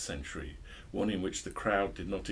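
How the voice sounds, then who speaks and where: With vocal fry, a man talks at a fairly quick pace. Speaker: book discussion host. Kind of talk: book review chat and reading aloud. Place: shop. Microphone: studio mic.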